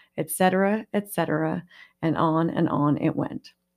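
A woman with a normal speaking voice talks at a moderate pace, her pitch fairly low with ordinary variation, on a very clean recording with a silent background. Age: 50s. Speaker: podcast host and counselor. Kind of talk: solo podcast monologue.

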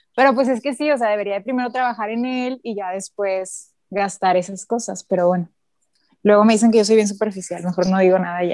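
Here a woman talks at a fairly quick pace. Her pitch is medium, with ordinary variation. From northern Mexico. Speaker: doctor. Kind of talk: casual chat.

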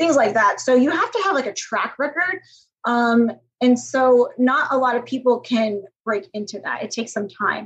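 Speaking in an American accent, a woman uses a high pitch and lively intonation at a moderate pace. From US (Georgia, Ohio). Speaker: hotel executive. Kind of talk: interview.

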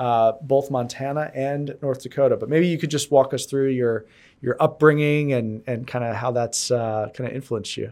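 With an American accent, a man talks at a moderate pace and medium pitch, his intonation fairly even, on a very clean recording with a silent background. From New York and Connecticut, US. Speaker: podcast host and venture investor. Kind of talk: casual interview chat. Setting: in-person studio. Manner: halting.

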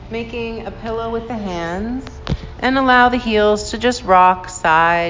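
Over music in the background, a woman speaks with a soothing, gentle tone, lively intonation and a fairly slow pace. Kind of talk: guided yoga class with calming meditation-style cueing. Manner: slow, soft, soothing and unhurried, with gentle pauses; calm, instructive, gently encouraging.

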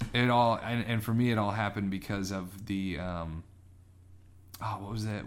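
In a room with audible echo, a man speaks at a fairly low pitch with monotone, flat intonation. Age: young. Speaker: podcast co-host. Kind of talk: casual chat.

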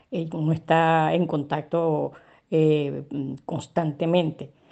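Against a quiet background, a woman with a Caracas accent speaks in a very deep, low pitch with a dark, mellow tone. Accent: Venezuelan Spanish (Caracas). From Venezuela, Caracas. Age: 70s. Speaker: retired chemical engineer and consultant, migrant. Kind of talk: interview testimony. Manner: hesitant, many fillers.

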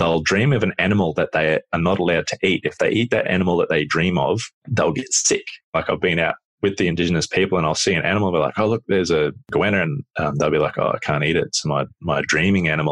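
Speaking at a very fast pace with very even loudness, a man with an Australian accent uses a very deep, low pitch and ordinary pitch variation in a dry, close sound with no echo. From rural Australia, Queensland. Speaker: adventurer. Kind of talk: casual chat.

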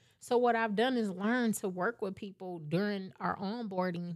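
A woman's ordinary speaking voice, an ordinary speaking voice at medium pitch with ordinary pitch variation, in a very clean recording over a silent background. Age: 40s. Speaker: tax business owner. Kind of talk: casual chat.

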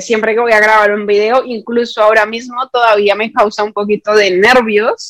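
A woman talks in a monotone, flat intonation, taking a fairly slow pace. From Colombia, Bogotá. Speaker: YouTube content creator. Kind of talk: casual interview.

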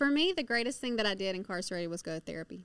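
A woman with a Southern US accent speaks at a fairly high pitch on a very clean recording with a silent background. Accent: Southern US (Georgia). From US South, rural northwest Georgia. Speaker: prison reform advocate, former inmate. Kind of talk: testimony. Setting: studio.

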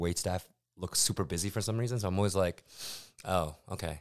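A man talks at a fairly quick pace with a very deep, low pitch. The recording is very clean, and the background is silent. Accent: American. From US, New York. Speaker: podcast co-host. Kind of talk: casual chat.

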